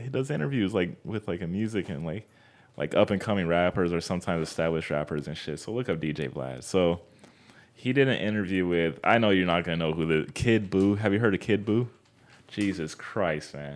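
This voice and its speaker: With an American accent, a man speaks fairly quickly in a very deep, low pitch. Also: ordinary pitch variation, very clean recording, silent background. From Southern California, Anaheim area. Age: 20s. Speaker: podcast guest, vegan. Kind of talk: casual chat.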